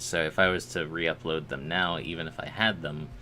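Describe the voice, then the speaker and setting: Music in the background beneath a man's fairly slow delivery. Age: 20s. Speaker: streamer making 3D models. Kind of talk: casual live stream chat. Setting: live stream at computer.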